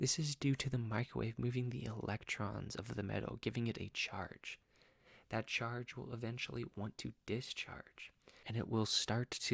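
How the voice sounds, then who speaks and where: A soft-spoken man with vocal fry and fairly even intonation is heard in a dry, close sound with no echo. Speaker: student teacher. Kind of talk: educational talk to camera.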